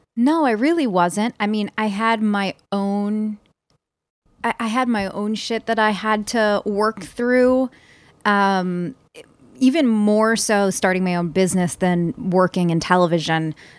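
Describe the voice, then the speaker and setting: Heard in a very clean recording with a silent background, a woman with a Philadelphia accent uses ordinary pitch variation, the sound dry and close with no echo. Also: medium pitch for a woman, fairly slow pace. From Philadelphia, US. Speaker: success coach. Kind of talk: casual interview chat.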